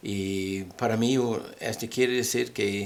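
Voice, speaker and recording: A man with a non-native accent speaks at a fairly low pitch with fairly even intonation. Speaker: religious teacher. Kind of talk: bible teaching. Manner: halting.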